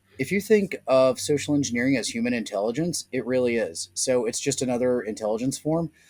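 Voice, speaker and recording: A man with an American accent and a medium-pitched voice, talking at a fairly quick pace with hardly any pauses. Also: ordinary pitch variation. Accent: Southern US, can be turned up. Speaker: social engineering and security consultant. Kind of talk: podcast interview.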